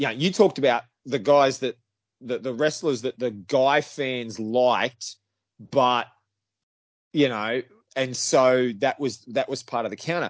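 A man with an Australian accent, at a fairly slow pace, with long, frequent pauses. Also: medium pitch for a man, ordinary pitch variation. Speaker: wrestling podcast guest. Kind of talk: casual chat.

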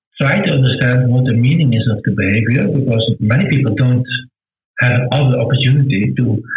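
A man with a Dutch accent speaks at a medium pitch. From Netherlands. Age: 60s. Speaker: author. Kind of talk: interview. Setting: video call. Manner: halting.

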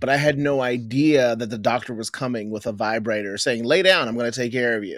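A man talks with an American accent and hardly any pauses. His pitch variation is ordinary. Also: medium pitch for a man. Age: 40s. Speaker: podcast co-host. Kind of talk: casual chat. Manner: halting.

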